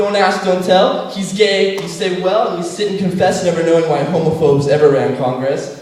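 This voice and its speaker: Against noticeable background noise, the speech runs with hardly any pauses and ordinary pitch variation. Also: man, high pitch for a man. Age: young. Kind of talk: poetry slam performance. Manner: fast.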